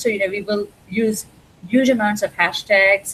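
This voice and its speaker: A woman speaks at a fairly high pitch, somewhat breathy, with ordinary pitch variation. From India. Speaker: library cataloger. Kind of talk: interview. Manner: hesitant, many fillers.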